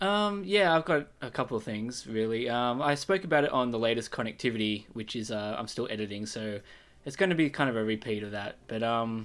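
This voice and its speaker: On a very clean recording with a silent background, a man with an Australian accent and a medium pitch speaks at a fairly quick pace with lively intonation. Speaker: podcast guest. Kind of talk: casual chat.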